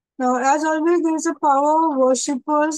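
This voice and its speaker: At a moderate pace, a woman speaks with fairly even intonation in a dry sound with no echo and a quiet background. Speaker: teacher. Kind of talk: lecture. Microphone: webcam.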